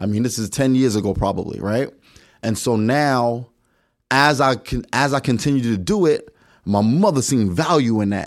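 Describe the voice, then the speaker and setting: Speaking with an American accent at a fairly quick pace, a man has a plain, everyday voice with medium pitch and ordinary pitch variation, recorded very cleanly against a silent background. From New York City. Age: 40s. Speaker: podcast guest. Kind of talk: casual chat.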